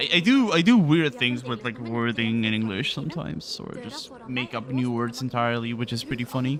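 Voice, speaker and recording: Against noticeable background noise, a man with a slight Spanish accent talks at a fairly quick pace. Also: medium pitch for a man, ordinary pitch variation, hardly any pauses. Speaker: video game speedrunner streamer. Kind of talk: casual livestream chat. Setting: livestream.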